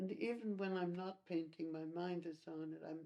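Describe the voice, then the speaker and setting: The woman speaks at a fairly slow pace in a dark, mellow tone, with a fairly low pitch and monotone, flat intonation. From Montreal, Canada. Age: 80s+. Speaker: painter and art teacher. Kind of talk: interview answer. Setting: at home.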